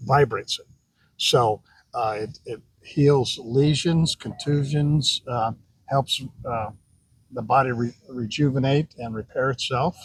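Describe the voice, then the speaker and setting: Somewhat breathy and medium in pitch, a man's voice moves at a fairly slow pace with ordinary pitch variation. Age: 70s. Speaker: pickleball player interviewed. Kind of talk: casual interview. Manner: hesitant, many fillers.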